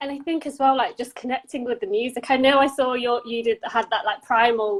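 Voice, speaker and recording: In a London accent, a woman talks fairly quickly in a high voice with ordinary pitch variation. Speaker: podcast host. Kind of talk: casual interview chat.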